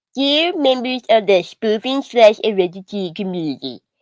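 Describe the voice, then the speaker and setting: At a moderate pace, the speaker puts on a character voice. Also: female-sounding voice, fairly high pitch for a woman. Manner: goofy, exaggerated, improvised.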